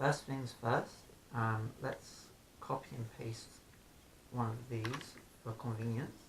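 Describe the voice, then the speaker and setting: Somewhat breathy, a man speaks at a medium pitch. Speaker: software developer tutorial host. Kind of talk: casual coding tutorial narration.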